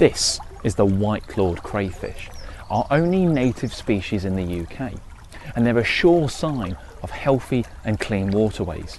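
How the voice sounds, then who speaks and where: The speaker's pitch swings very widely at a moderate pace. Background noise is noticeable. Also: man, medium pitch for a man. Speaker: wildlife presenter. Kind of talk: wildlife documentary narration.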